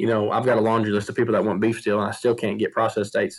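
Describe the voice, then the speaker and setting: On a very clean recording with a silent background, a man with a Southern US accent speaks at a medium pitch in a monotone, flat way. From US South, Tennessee. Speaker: medical practitioner and farmer. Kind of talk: casual interview.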